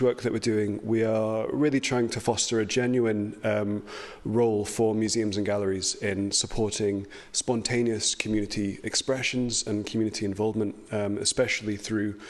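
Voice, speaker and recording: This man's fairly low voice moves along at a moderate pace. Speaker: heritage organisation speaker. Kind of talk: conference presentation. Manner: hesitant, many fillers.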